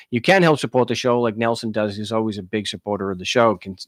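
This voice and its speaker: A man races along very fast in a dry, close recording with no echo. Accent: New York. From Long Island, New York. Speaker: talk show host. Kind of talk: live call-in show, casual talk. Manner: halting, many restarts.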